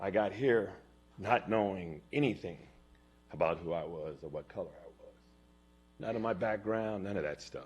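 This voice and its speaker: A man with an American accent speaks at a moderate pace in a fairly low pitch with ordinary pitch variation, big swings in loudness, and long, frequent pauses. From Gilroy, California. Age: 60s. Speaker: public commenter. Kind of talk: public comment testimony. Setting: city council chambers.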